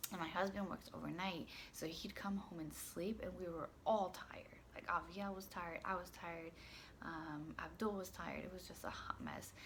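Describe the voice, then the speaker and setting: A woman's fairly low, monotone voice with flat intonation, at a moderate pace, with audible room echo. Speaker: parenting vlogger. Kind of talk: casual vlog. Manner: hesitant, many fillers.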